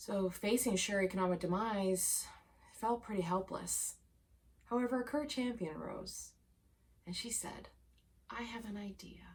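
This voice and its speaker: Loud and medium in pitch, a woman speaks at a moderate pace with ordinary pitch variation and long, frequent pauses. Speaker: cheese educator and web series co-host. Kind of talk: scripted news segment.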